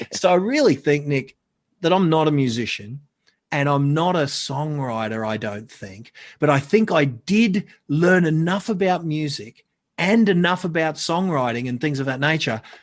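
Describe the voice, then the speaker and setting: At a moderate pace, a man with an Australian accent speaks at a fairly high pitch. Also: lively intonation. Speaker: marketing consultant. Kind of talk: casual chat. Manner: loud.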